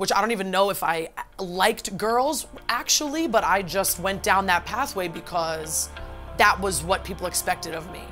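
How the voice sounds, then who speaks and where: A woman speaks with vocal fry. Her tone is bright and sharp. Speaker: podcast guest. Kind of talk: casual chat.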